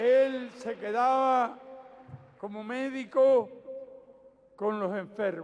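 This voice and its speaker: A man with a Cuban accent speaks at a very slow pace, with long, frequent pauses. His pitch is extremely high, with ordinary variation. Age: 70s. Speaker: political leader. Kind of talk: public political speech. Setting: outdoors.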